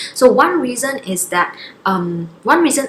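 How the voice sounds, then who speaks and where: Noticeable background noise sits behind the voice. The delivery is fairly slow with lively intonation. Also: woman. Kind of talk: casual talk to camera.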